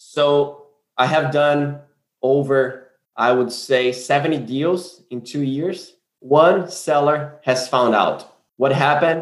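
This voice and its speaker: A man with a Brazilian accent, fairly high in pitch, very slow in pace, with fairly even intonation. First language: Portuguese. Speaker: land investor. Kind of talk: casual interview.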